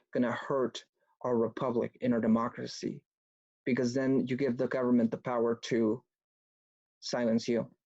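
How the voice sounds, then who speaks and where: A man with a Spanish accent talks at a medium pitch and moderate pace, with long, frequent pauses and a monotone, flat intonation. His tone is dark and mellow, his loudness very even, and the sound dry and close with no echo against a quiet background. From Mexico (Mexico City area), moved to US at about nine. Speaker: political activist speaker, former antifa member. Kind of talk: online talk presentation.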